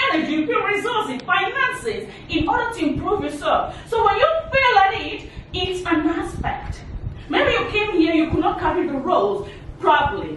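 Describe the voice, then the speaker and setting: A woman speaks at an extremely high pitch with very wide pitch swings. Audible room echo and noticeable background noise surround her. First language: not English. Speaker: motivational speaker. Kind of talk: motivational talk.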